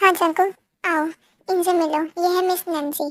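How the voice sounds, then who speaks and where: Squeaky and extremely high, a woman's put-on character voice moves at a moderate pace in a monotone, flat intonation. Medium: read story. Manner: courteous, authoritative.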